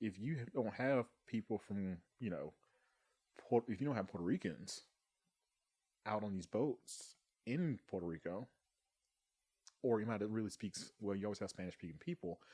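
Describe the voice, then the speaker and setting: A man's fairly low, lively voice with a Southern US accent, broken by long, frequent pauses. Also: moderate pace. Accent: Southern US (Georgia). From US South, Thomasville, Georgia. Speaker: Coast Guard member. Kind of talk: casual chat.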